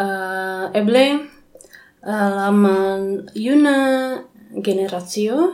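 Speaking with an Indonesian accent, a woman uses a medium pitch and ordinary pitch variation at a very slow pace. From Indonesia, Bandung. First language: Indonesian (speaking German). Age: young. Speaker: English teacher. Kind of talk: interview. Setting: Esperanto congress in Germany. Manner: halting.

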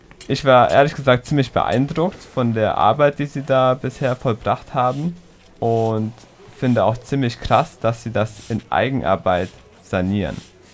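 Here a man with an unremarkable speaking voice talks at a fairly slow pace, medium in pitch with ordinary pitch variation. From Heidelberg, Germany. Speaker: radio reporter. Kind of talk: narrated report and interview.

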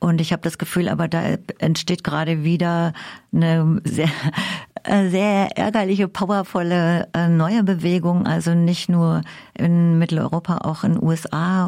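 A woman speaks at a fairly slow pace in a dark, mellow tone with a fairly low pitch, recorded very cleanly against a silent background. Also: very even loudness. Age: 70s. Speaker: interviewer. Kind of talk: interview.

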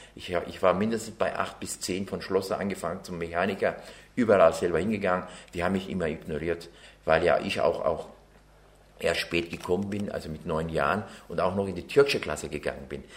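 Fairly quick speech from a man in a very deep, low register. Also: ordinary pitch variation. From Turkey (Ankara/Çorum), then Bavaria from age nine. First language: Turkish (speaking German). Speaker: interviewee, naturalized citizen. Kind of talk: interview testimony.

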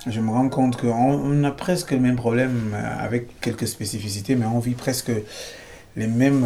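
A man with a medium pitch talks at a moderate pace as noticeable noise fills the background. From Cameroon. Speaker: singer-songwriter. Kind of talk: interview. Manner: halting.

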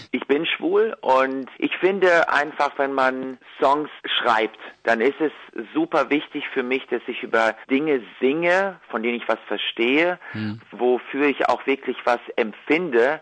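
A man talks at a very slow pace in a fairly high voice. The background is quiet. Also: ordinary pitch variation. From Ukraine, moved to Germany at ten. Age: young. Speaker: singer-songwriter and violinist. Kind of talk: interview.

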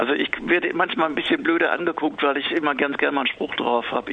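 A man rattles off his words very quickly while noticeable background noise carries on. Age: 50s. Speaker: author. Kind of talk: interview. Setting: phone call.

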